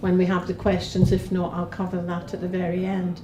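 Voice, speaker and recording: Speaking fairly quickly, a woman has a Scottish accent. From Scotland. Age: 60s. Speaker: parliamentary candidate. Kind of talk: campaign speech.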